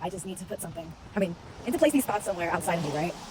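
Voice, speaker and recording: A woman's lively intonation at a very fast pace, over noticeable background noise. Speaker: vlogger. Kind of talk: personal vlog. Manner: casual, hesitant.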